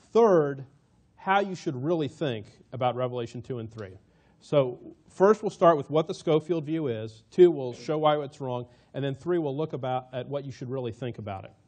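Over a quiet background, a man speaks at a moderate pace. His loudness swings widely. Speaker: church lecturer. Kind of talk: lecture. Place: hall. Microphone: podium.

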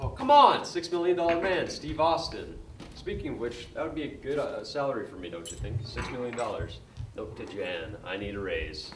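A man at a moderate pace with big swings in loudness, against noticeable background noise. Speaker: student actor playing office boss. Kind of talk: acted comedic dialogue. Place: classroom. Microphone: camera far.

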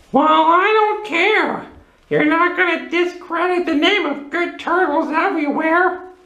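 This cartoonish character voice sits at an extremely high pitch. It moves at a fairly slow pace. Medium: puppet. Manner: grumpy, indignant.

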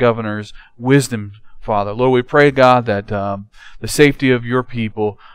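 Against a quiet background, a man speaks at a moderate pace with fairly even intonation in a dry sound with no echo. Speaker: kids church pastor. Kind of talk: prayer. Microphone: handheld.

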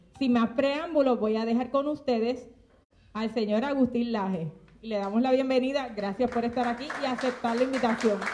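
Against light background noise, a woman talks in a high voice with fairly even intonation. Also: moderate pace. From Puerto Rico. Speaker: legislator. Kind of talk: formal speech. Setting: legislative chamber with audience. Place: meeting room.

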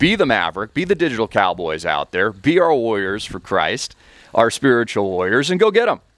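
Fairly quick pace, very wide pitch swings and an animated tone, with a dry sound with no echo against a quiet background. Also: man. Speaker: crypto commentator and educator; online business coach. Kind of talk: online video commentary with sales pitch. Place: home room. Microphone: headset.

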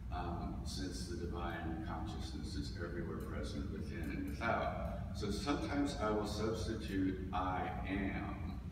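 A man talks at a very slow pace. Audible room echo and loud background noise surround him. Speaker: minister giving a talk. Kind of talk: sermon. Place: church. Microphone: camera far.

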